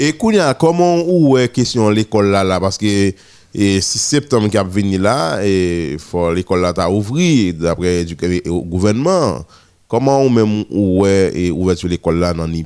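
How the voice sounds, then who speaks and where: A man speaks in an ordinary speaking voice, fairly low in pitch. His pace is moderate and his intonation lively. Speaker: radio host. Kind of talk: morning radio show.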